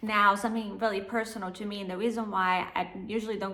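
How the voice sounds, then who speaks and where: A woman with a non-native accent at a medium pitch, fairly quick pace and fairly even intonation. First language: not English. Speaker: book vlogger. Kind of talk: casual book review vlog.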